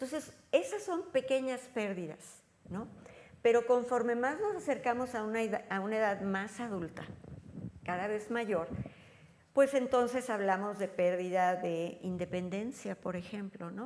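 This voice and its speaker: This woman has an unremarkable speaking voice, pitched fairly high, and talks at a fairly slow pace with ordinary pitch variation. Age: 60s. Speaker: elder care expert. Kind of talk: interview. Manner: conversational.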